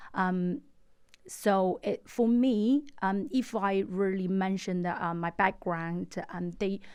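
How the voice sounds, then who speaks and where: Over a quiet background, a woman with a Chinese accent speaks at a medium pitch and a very slow pace, with ordinary pitch variation. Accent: Mandarin Chinese. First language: Mandarin. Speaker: estate agent. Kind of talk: interview. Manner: halting, many fillers.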